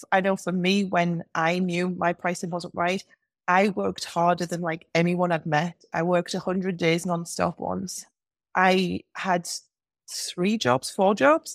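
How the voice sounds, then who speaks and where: A woman with an English accent speaks at a fairly slow pace in a fairly low, monotone, flat voice. The recording is very clean, dry and close, with no echo and a silent background. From England. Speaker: business coach for hairstylists. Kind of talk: casual interview chat.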